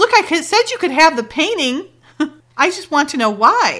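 A woman puts on a character voice in an American accent, extremely high in pitch with very wide pitch swings, at a moderate pace.

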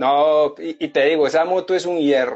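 A man with an Antioquian accent, fairly high in pitch, at a moderate pace. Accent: Colombian paisa Spanish. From Colombia, Medellín. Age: 30s. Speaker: motorcycle traveler. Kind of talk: interview, casual storytelling.

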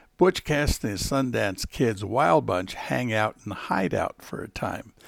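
Over a very clean recording with a silent background, a man speaks at a moderate pace in a warm, relaxed tone, fairly low-pitched with vocal fry and lively intonation. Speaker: podcast host and local historian. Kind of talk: tall-tale campfire storytelling. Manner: folksy, conversational storyteller.

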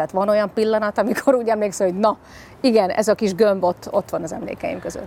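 Her medium pitch held to fairly even intonation, a woman speaks at a very fast pace. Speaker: sports podcast host. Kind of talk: interview.

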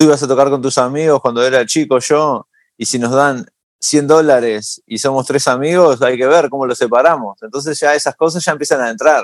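With an ordinary speaking voice, a man talks at a fairly quick pace and fairly high pitch, his intonation fairly even, in a very clean recording with a silent background. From Uruguay (Montevideo), moved to New York as a teen. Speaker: singer-songwriter and musician. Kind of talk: interview conversation.

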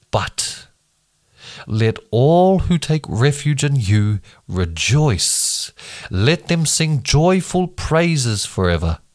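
On a very clean recording with a silent background, a man with a New Zealand accent speaks at a very slow pace, his fairly high pitch making very wide swings. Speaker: bible reading podcaster. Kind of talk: reading aloud. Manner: halting over hard names.

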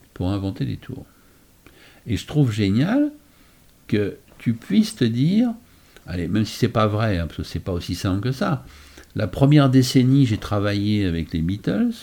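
With a dark, mellow tone and fairly low pitch, a man speaks at a moderate pace using lively intonation and long, frequent pauses. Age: 60s. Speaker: magician. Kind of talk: casual chat.

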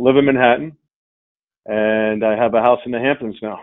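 With a New York accent, a man speaks at a medium pitch and a fairly quick pace in a monotone, flat intonation. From Long Island, New York. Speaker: insurance company CEO. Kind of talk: interview. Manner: halting, many fillers.

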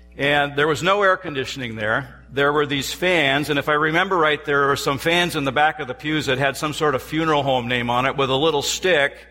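A man at a fairly high pitch, talking at a fairly quick pace with hardly any pauses over noticeable background noise. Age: 60s. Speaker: professor and guest preacher. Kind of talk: sermon. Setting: church.

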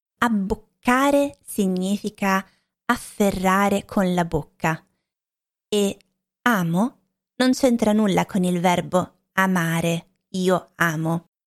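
This woman's voice sits at a medium pitch with ordinary pitch variation, moving at a very slow pace with long, frequent pauses. The recording is very clean and dry, close-sounding, with a silent background and no echo. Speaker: language teacher podcaster. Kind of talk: language lesson monologue.

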